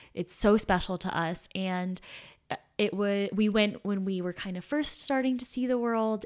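On a very clean recording with a silent background, a woman talks at a moderate pace in an ordinary speaking voice. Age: 20s. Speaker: podcast co-host. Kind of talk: casual chat.

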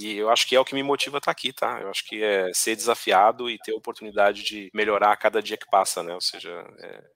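A man with a fairly low voice and a bright, sharp tone talks at a very fast pace with hardly any pauses, fairly even intonation and big swings in loudness, in a dry, close sound with no echo. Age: 30s. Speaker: tech executive. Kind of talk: podcast interview.

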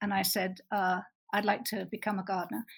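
A somewhat breathy voice with an American accent speaks at a fairly quick pace in a monotone, flat intonation, on a very clean recording with a silent background. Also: woman. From Bristol, England. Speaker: animal sanctuary co-founder. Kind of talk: interview.

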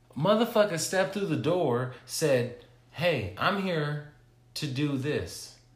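Noticeable background noise sits behind a man speaking at a very slow pace. His pitch is fairly high. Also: lively intonation. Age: 30s. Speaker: podcast co-host. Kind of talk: casual chat.

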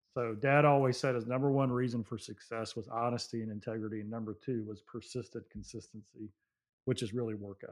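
A man's ordinary speaking voice at a fairly quick pace, with fairly even intonation, big swings in loudness and a quiet background. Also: medium pitch for a man. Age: 50s. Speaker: motivational speaker and CEO. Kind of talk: interview. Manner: calm.

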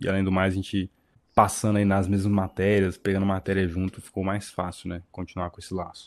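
A man speaks in a very deep, low voice with flat, monotone intonation. His loudness swings widely. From Brasília. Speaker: podcast co-host, civil engineering graduate. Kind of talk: casual chat.

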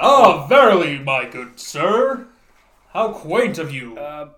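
A man's put-on character voice, high-pitched with very wide pitch swings, at a fairly slow pace and with slight echo. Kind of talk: old-fashioned theatrical English. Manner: pompous.

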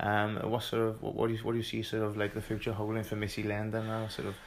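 Speaking at a very fast pace, a man talks with fairly low pitch. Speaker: podcast host. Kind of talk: casual interview chat.

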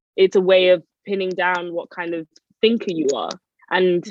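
A woman with a London accent speaks at a moderate pace and medium pitch, in a dry, close sound with no echo. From North London, Edmonton. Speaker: writer and PhD researcher. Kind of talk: interview.

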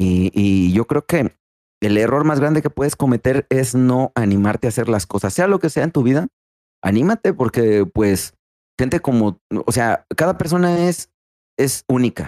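In a Mexican accent, the speaker talks at a fairly slow pace with lively intonation, a dark, mellow tone and very even loudness, in a dry, close sound with no echo. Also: man, medium pitch for a man. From Mexico, San Luis Potosí (Río Verde). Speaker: streamer. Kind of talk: casual interview. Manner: halting, repeats words.

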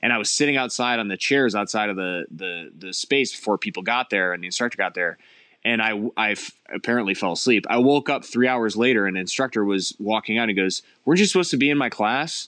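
Over a quiet background, a man with an American accent talks at a very fast pace in a medium pitch with ordinary pitch variation. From US Midwest, Cleveland, Ohio. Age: 30s. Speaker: film and commercial director. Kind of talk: casual interview.

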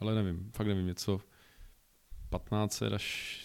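A man's fairly low voice stays monotone, with flat intonation. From Czechia, Olomouc. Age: 30s. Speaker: regional director. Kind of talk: interview.

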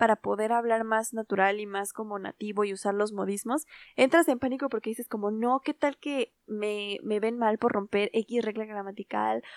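An ordinary speaking voice at a moderate pace with ordinary pitch variation, dry and close with no echo, in a very clean recording with a silent background. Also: woman. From Latin America, Spanish-speaking country. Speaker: podcast co-host. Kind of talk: casual chat.

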